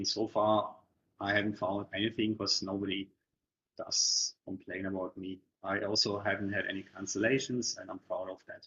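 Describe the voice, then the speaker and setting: A man with a German accent speaks at a moderate pace. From Germany. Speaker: property investment coach. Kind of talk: webinar presentation. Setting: online webinar.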